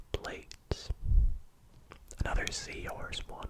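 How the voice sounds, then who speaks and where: A whisper in a relaxed tone comes through over noticeable background noise. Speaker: ASMR content creator. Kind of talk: ASMR whispered facts reading, casual chat to camera. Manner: whispered, soft, relaxed.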